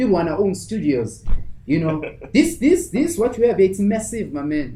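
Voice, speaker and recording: The speech moves at a moderate pace with very wide pitch swings. Noticeable background noise runs underneath. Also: man, high pitch for a man. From South Africa, Cape Town. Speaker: life coach and motivational speaker. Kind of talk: interview answer. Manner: energetic.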